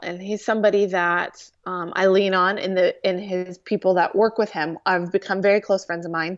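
With an American accent, a woman speaks at medium pitch and a moderate pace in a monotone, flat intonation, hardly pausing, against a quiet background. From US West Coast, Orange County, California. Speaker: television producer. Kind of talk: casual interview.

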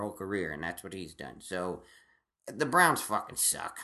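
The man's voice sits at a fairly low pitch. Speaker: stand-up comedian. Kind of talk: casual chat. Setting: home recording. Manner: loud; halting.

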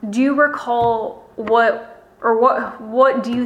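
Background noise is clearly audible. The pitch moves in a fairly even way. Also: woman. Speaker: interviewer. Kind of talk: oral history interview.

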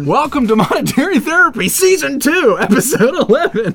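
A man speaks at a moderate pace. His pitch is extremely high. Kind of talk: podcast host, broadcast intro.

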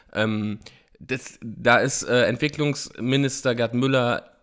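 The intonation stays fairly even in a very clean recording with a silent background. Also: man. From eastern Germany, Frankfurt (Oder). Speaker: political podcaster. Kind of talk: solo political commentary. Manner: hesitant, many filler sounds.

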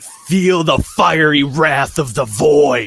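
A put-on character voice is bellowing at a very slow pace. Faint music plays in the background. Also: man, fairly high pitch for a man. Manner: creepy, yelling.

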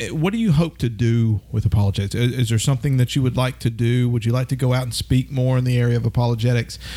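With a Southern US accent, a man talks at a very fast pace with ordinary pitch variation. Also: medium pitch for a man, hardly any pauses. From US South, north Alabama. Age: 40s. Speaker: podcast host. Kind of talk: casual chat.

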